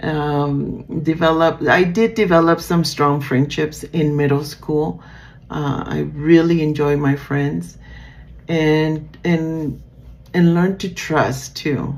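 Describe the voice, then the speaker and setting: A woman speaks very slowly at a very deep, low pitch. Her intonation stays fairly even. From Nicaragua. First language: Spanish. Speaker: student. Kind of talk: class presentation. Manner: halting, many fillers.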